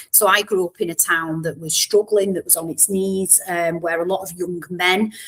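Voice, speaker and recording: A woman with a Mancunian accent speaks at a moderate pace. Her voice is fairly low and her intonation fairly even. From northern England, Warrington near Manchester. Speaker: education professor. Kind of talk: podcast interview.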